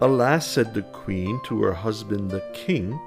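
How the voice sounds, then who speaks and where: A man with a calm, soothing tone over background music. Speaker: storyteller. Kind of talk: children's bedtime story reading.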